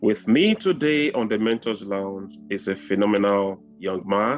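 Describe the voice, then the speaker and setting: With music in the background, a man talks at a fairly slow pace in a fairly low pitch. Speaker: TV host. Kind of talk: interview show introduction.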